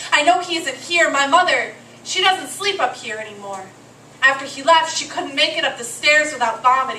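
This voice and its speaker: Against noticeable background noise, a woman uses a raised, projected voice at high pitch, with lively intonation, big swings in loudness, and a moderate pace. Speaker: slam poet. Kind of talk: slam poetry performance.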